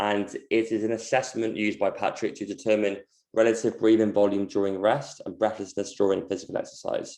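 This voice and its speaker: A man speaks in a London accent. His pace is very fast. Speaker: movement coach. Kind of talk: online presentation. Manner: halting, many fillers.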